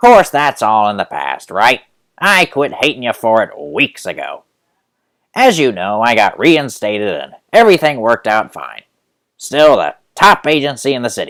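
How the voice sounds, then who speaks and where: A man's put-on character voice at medium pitch, on a very clean recording with a silent background. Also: moderate pace. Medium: read story. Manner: smug, condescending.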